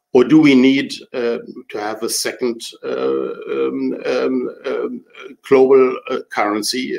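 The speaker has a German accent and talks at a very slow pace. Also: man. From Germany. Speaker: retired diplomat. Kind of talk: prepared talk.

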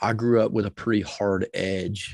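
A man speaks at a fairly low pitch. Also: quiet background. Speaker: leadership coach. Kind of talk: podcast interview. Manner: loud; energetic.

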